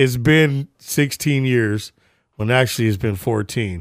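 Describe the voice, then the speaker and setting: The voice has an animated tone and a moderate pace. The recording is very clean, with a silent background. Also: man. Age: 40s. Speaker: podcast co-host. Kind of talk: casual chat.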